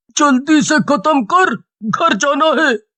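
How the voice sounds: The speaker uses a cartoonish character voice at a high pitch.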